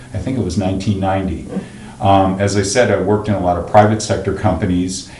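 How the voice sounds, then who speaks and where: Over noticeable background noise and audible room echo, a man with a General American accent talks at a fairly low pitch in a flat monotone. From Pennsylvania. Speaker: county finance official. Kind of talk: interview.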